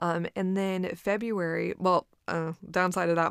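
Speech with an American accent in an unremarkable speaking voice comes at a fairly slow pace. The sound is dry and close with no echo, on a very clean recording with a silent background. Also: woman. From Texas. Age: 20s. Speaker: podcaster and business owner. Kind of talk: solo reflective monologue. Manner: casual with frequent fillers and laughs.

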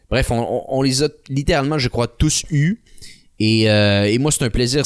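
An unremarkable speaking voice from a man, medium in pitch, at a moderate pace on a very clean recording with a silent background. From Quebec City. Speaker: podcast host and online ad agency owner. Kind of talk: interview.

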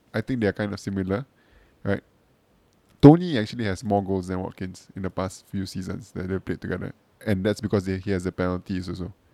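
At a very fast pace, a man speaks in a very deep, low pitch with a dark, mellow tone and fairly even intonation.

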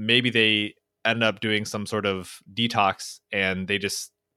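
Bright and sharp in tone, a man with a Californian accent speaks very slowly at a fairly low pitch in a monotone, flat intonation, the sound dry and close with no echo. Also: very clean recording, silent background. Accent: Californian American English. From Orange County, California. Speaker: motivational speaker. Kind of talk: interview conversation.

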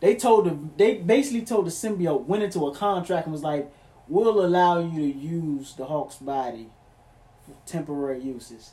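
The intonation rises and falls in a lively way. The tone is dark and mellow. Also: man, high pitch for a man, moderate pace. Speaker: friend on podcast. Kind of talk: casual banter. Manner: animated, loud.

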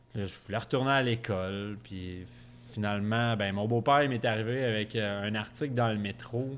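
Fairly even intonation in a Quebec accent. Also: man. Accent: Québécois French. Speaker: brewer. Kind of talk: casual chat. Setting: recorded at a bar.

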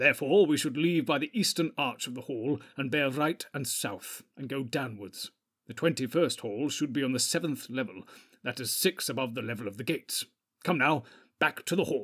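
In a very clean recording with a silent background, a man puts on a character voice. His pitch is medium and his pace moderate. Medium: read story. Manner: grave, commanding.

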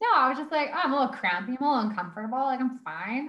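High pitch and lively intonation in a woman's voice. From Alberta, Canada (Sherwood Park). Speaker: mother sharing birth story. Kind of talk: interview, personal story.

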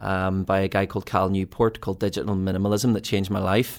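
A man with a Belfast accent talks at a moderate pace in a very clean recording with a silent background. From Northern Ireland, East Belfast. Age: 30s. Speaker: ministry team leader and podcast co-host. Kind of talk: casual chat.

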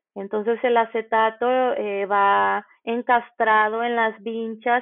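A woman speaks very slowly at a fairly high pitch. Her intonation is monotone and flat. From Mexico, Nayarit. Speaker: graduate student in electronic arts. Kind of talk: interview. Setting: remote recording. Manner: hesitant with filler words.

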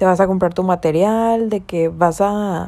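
In a very clean recording with a silent background, a woman speaks at a moderate pace with a medium pitch, fairly even intonation, and a dark, mellow tone. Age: 20s. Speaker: university student. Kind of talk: personal monologue.

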